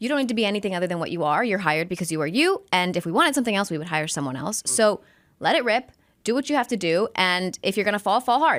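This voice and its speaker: Very wide pitch swings run through a woman's medium-pitched voice at a very fast pace. The recording is very clean, with a silent background. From US-Mexico border, El Paso, Texas. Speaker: sports broadcaster. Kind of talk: podcast interview.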